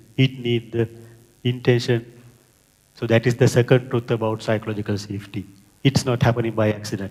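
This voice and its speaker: A man with a Sri Lankan accent speaks at a fairly quick pace but with long, frequent pauses, his voice somewhat breathy, medium in pitch and monotone, with flat intonation. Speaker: project manager and scrum master. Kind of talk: conference talk.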